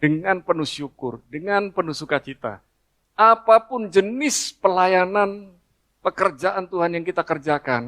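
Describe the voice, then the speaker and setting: A man talks fairly slowly in a high voice with a bright, sharp tone and lively intonation. The sound is dry and close with no echo. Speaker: pastor. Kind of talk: sermon.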